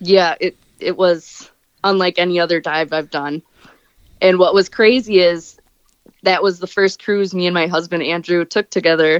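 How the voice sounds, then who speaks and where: A woman with a fairly low pitch speaks at a moderate pace and fairly even intonation, leaving long, frequent pauses, in a dry, close sound with no echo. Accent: American. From US Midwest, Wisconsin. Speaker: scuba diver and cruise enthusiast. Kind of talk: casual interview.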